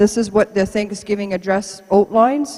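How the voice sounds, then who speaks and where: A woman speaks with a Canadian accent. Noticeable background noise can be heard. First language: Mohawk. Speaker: archaeology supervisor. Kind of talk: public lecture.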